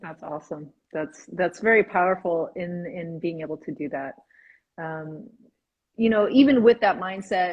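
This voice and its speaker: A woman speaks at a moderate pace in a fairly low, somewhat breathy voice. Her intonation is lively and her loudness swings widely. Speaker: interviewer. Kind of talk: live interview host talk.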